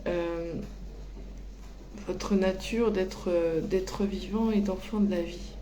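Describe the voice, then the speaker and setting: Speech comes at a very slow pace, broken by long, frequent pauses. The room echo is audible and the background noise noticeable. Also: woman. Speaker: medium giving spiritual guidance. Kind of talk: channeled oracle reading. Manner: hesitant, many fillers.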